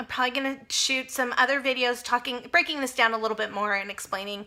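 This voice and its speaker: A woman's bright, sharp tone. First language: Spanish. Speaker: personal finance vlogger. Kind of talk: casual vlog monologue. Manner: conversational, with fillers and self-corrections.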